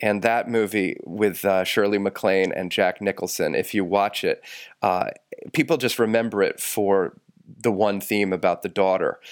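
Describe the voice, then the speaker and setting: An unremarkable speaking voice moves at a moderate pace with fairly even intonation in a very clean recording with a silent background. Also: man, fairly low pitch for a man. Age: 40s. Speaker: priest and podcast co-host. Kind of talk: casual chat.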